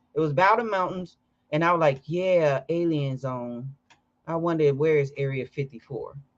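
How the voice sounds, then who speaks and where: An American accent comes through. The speech moves at an average speed. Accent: sounds Southern, per coworker. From Chicago. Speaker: live-stream host. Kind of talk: casual chat. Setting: live stream.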